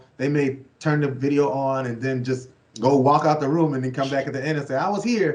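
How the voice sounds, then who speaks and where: Amid noticeable background noise and audible room echo, a man with an American accent speaks with fairly even intonation. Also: fairly high pitch for a man. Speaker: youth program worker. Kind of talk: interview. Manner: fast.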